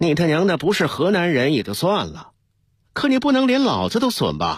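In a put-on character voice with a slightly husky edge, a man talks at a fairly quick pace and a fairly high pitch, swinging very widely in pitch, on a very clean recording with a silent background.

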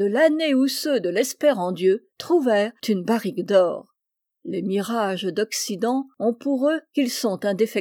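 Lively intonation colors a natural reading voice, and the background stays quiet.

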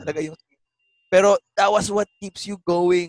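Dry and close with no echo, a man talks at a high pitch and a fairly quick pace. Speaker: stand-up comedian and gaming streamer. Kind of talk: casual interview chat, Taglish.

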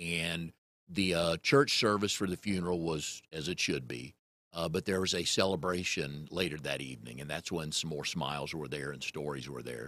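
A man with an American accent speaks at a moderate pace with ordinary pitch variation. His very deep, low voice has vocal fry and a bright, sharp tone. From US South, North Carolina (Raleigh). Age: 60s. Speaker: podcast host. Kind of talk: casual chat.

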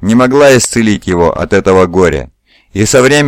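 A quiet background behind plain reading aloud

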